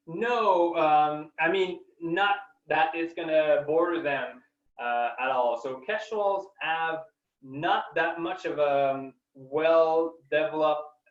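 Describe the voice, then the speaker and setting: Very slow speech in a French accent, with ordinary pitch variation. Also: man, fairly high pitch for a man. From Quebec, Canada. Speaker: scientist. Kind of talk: webinar Q&A. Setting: online webinar. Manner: halting, many fillers.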